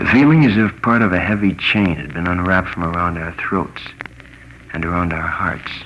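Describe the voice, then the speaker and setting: Over noticeable background noise, a man with an American accent speaks in a very deep, low pitch. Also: ordinary pitch variation, moderate pace. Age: 20s. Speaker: radio commentator; war veteran. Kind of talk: radio commentary. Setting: old acetate disc recording.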